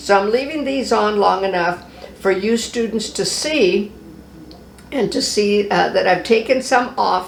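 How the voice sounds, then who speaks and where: Against noticeable background noise and audible room echo, a woman speaks at a fairly slow pace in a medium pitch with ordinary pitch variation. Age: 70s. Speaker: cosmetology instructor. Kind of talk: tutorial. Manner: casual, conversational.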